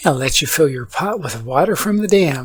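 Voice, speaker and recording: The recording is very clean with a silent background as a man talks fairly quickly in a somewhat breathy voice, his pitch swinging very widely. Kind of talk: sleep story. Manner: calm, soothing.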